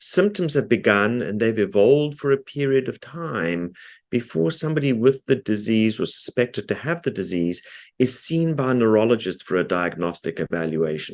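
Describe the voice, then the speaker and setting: In a quiet setting, a man talks at a moderate pace with a South African accent. His medium pitch swings very widely. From South Africa, Cape Town. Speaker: neurologist and researcher. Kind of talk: lecture. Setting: video call. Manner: frequent filler ums.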